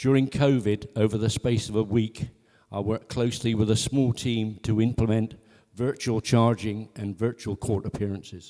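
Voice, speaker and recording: Fairly even intonation and a moderate pace in a plain, everyday voice. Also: man. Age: 60s. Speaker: election candidate. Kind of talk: campaign speech. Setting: parish hall with audience.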